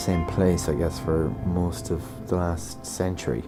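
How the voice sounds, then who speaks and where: A man speaks with a very deep, low pitch. Music plays in the background. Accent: western Irish. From Ireland, County Mayo. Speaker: composer and pianist. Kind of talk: documentary narration, reflective interview. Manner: reflective, hesitant.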